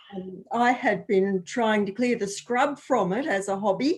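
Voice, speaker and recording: A woman with an Australian accent, a fairly high pitch, ordinary pitch variation and a moderate pace. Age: 70s. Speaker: retired landowner. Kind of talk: casual chat.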